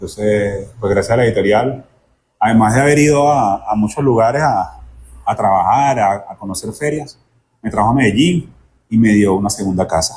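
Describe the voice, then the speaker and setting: In a Venezuelan accent, a man speaks at a moderate pace, somewhat breathy, with ordinary pitch variation. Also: medium pitch for a man. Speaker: bookseller. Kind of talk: interview answer.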